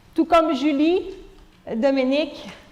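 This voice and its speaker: A woman speaks with a Quebec accent. Her pace is fairly slow. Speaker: conference speaker. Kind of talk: lecture. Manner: hesitant, many fillers.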